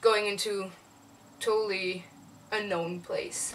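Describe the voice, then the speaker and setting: With a French accent, a woman speaks at a very slow pace with fairly even intonation. Her pitch is medium, and there is noticeable background noise. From South of France. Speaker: animator. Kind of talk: casual vlog monologue. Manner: halting, many fillers and repetitions.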